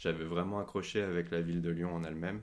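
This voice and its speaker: Speaking at a fairly quick pace, a man has a very deep, low pitch. His intonation is monotone and flat. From Paris, France. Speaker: podcast guest. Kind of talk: casual chat.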